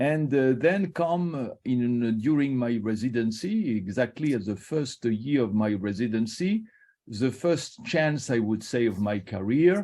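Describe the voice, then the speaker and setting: Using hardly any pauses yet a fairly slow pace, a man with a French accent speaks at a medium pitch with lively intonation and a dark, mellow tone. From Morocco (French family, Casablanca). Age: 60s. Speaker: liver surgeon, professor. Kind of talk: invited talk on career. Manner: halting, many hesitations.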